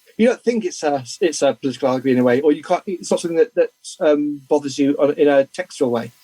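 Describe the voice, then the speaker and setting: With a British accent, a man speaks very fast at a fairly high pitch with ordinary pitch variation, the sound dry and close with no echo. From Britain. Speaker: comics news publisher and gossip columnist. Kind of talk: interview. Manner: halting, frequent repetitions and fillers.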